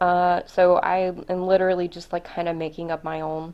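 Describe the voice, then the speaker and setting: At a moderate pace and in a fairly low pitch, a woman speaks with fairly even intonation over a quiet background. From US South. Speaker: homeschooling mom, vlogger. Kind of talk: casual curriculum review vlog. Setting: home, recording on camera. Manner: casual, many fillers.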